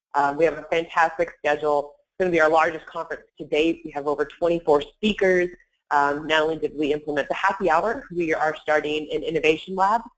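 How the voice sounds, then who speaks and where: At a fairly quick pace, a woman talks with a very deep, low pitch and fairly even intonation. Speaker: webinar presenter, sourcing trainer. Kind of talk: webinar presentation. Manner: fast.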